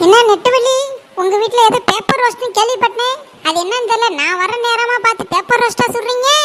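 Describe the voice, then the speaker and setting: A woman puts on a cartoonish character voice at an extremely high pitch. She goes at a moderate pace. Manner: cheeky, wheedling.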